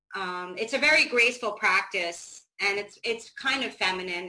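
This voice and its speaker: Her pitch varies in an ordinary way at a moderate pace. This woman has a plain, everyday voice. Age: 50s. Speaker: yoga and meditation teacher. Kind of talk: casual interview.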